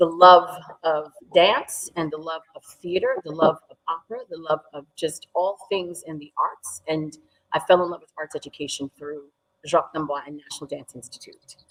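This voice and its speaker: A woman with a fairly low pitch talks at a moderate pace in an unremarkable speaking voice, her intonation fairly even but her loudness swinging widely, the sound dry and close with no echo. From New York, US (from age 4-5; born in Sierra Leone). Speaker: dance teacher. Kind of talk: interview.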